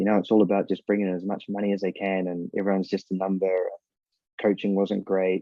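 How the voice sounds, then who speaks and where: Here a man speaks very fast with a New Zealand accent. His fairly low voice has monotone, flat intonation. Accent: New Zealand accent, noticed by Americans. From New Zealand, Northland (Whangarei). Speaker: former professional footballer and youth soccer coach. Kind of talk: casual interview chat. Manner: casual, filler-heavy.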